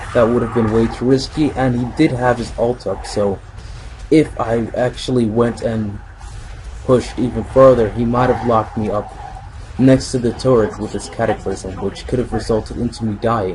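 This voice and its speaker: Background noise is noticeable. The delivery keeps a moderate pace. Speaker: gaming commentator. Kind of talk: recorded gameplay commentary. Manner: halting.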